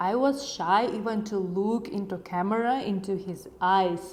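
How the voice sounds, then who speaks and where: A woman with a Ukrainian accent speaks at a fairly slow pace. Audible room echo surrounds her voice. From Ukraine. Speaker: YouTuber, language learning tips. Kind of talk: casual vlog talk to camera.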